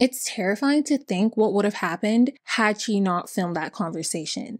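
The background is quiet while a woman talks. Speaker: channel host. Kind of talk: true-crime storytelling commentary. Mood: serious, indignant. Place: home room.

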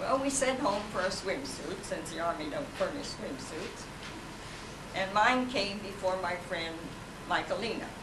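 Noticeable background noise sits behind a woman speaking at a fairly slow pace. Her medium pitch carries lively intonation. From Indiana. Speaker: Women's Army Corps veteran. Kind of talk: talk about wartime memories. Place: hall. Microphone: camera far.

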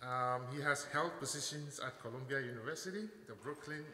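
A man's fairly even intonation, with audible room echo and light background noise. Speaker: speaker. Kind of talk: formal introduction speech. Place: hall. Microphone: podium.

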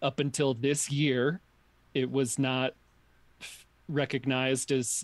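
A man's medium-pitched voice with an American accent. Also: dry, close sound with no echo. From New York. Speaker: podcast guest. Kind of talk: casual chat.

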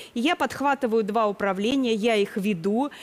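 A woman speaks at a fairly slow pace in a fairly high voice, with ordinary pitch variation. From southern Russia, Krasnodar region; Russia. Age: 50s. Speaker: retired educator, makeover participant; retired educator. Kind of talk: TV talk show testimony. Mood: defensive, explaining. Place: studio. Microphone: headset.

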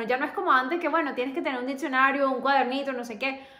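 A woman with a high voice talks very fast with ordinary pitch variation, and audible room echo surrounds her. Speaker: YouTuber, language learner; language-learning vlogger. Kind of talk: casual vlog tutorial. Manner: chatty, hesitant with fillers. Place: home room. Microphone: phone near.

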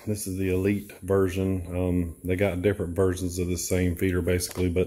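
A man's very deep, low voice, dark and mellow in tone and somewhat breathy, with monotone, flat intonation at a fairly quick pace. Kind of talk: tutorial. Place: garage. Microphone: phone near.

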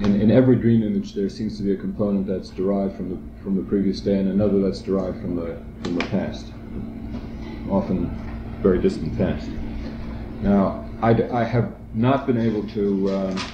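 Noticeable background noise runs under the recording. A man talks at a fairly quick pace and fairly low pitch. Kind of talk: seminar discussion. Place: classroom. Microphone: old recording.

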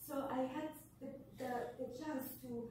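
With strong room echo and light background noise, a woman talks at a fairly slow pace in a high voice. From Somalia, Mogadishu. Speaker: writer. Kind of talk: Q&A discussion after film screening. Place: classroom.

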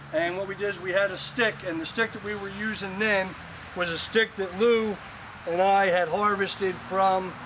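Against noticeable background noise, a man talks at a moderate pace in a high, monotone, flat voice. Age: 50s. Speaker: groom and interfaith ministry student. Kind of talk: wedding ceremony speech; ceremonial speech to guests. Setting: outdoors at a church wedding. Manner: halting, many fillers. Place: garden. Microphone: camera far.

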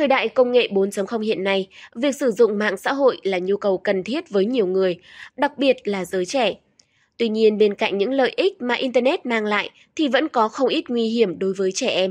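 In a normal speaking voice, a woman with a fairly high pitch talks at a moderate pace with ordinary pitch variation against a quiet background. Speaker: news presenter. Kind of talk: news reading. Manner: formal.

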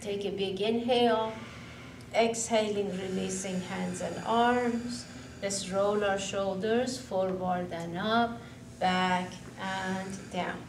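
A woman speaks at a very slow pace with ordinary pitch variation, and the room echo is audible over light background noise. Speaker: yoga instructor. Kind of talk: guided exercise instruction. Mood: calm, soothing. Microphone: camera far.

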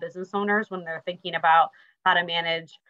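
A woman speaks at a fairly low pitch. She has a normal speaking voice. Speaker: guest. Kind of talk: interview answer. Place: home room. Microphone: video call.

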